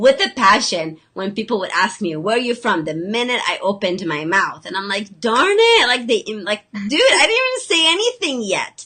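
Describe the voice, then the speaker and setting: In a Lebanese accent, a woman speaks at a moderate pace with a fairly high pitch and lively intonation. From Lebanon. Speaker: health coach and special education teacher. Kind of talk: casual chat. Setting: video call.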